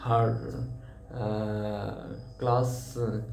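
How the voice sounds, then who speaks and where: With a Bengali accent, a man speaks as music plays in the background. Room echo is audible. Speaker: English learner vlogger. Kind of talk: casual speaking practice monologue. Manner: halting, many fillers and repetitions.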